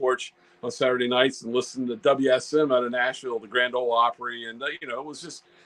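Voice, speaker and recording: Talking at a very fast pace, a man with a medium-pitched voice is heard over noticeable background noise. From Virginia, US South. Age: 60s. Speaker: ham radio YouTuber. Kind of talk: casual interview chat. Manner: halting, many fillers.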